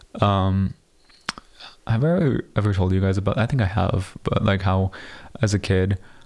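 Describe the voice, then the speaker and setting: A man speaks in a fairly low pitch with very even loudness and long, frequent pauses. Noticeable background noise is present. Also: ordinary pitch variation, moderate pace. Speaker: solo podcast host. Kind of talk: casual chat. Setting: home studio. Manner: usually loud; quieter than usual. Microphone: new studio mic, watching levels to avoid clipping.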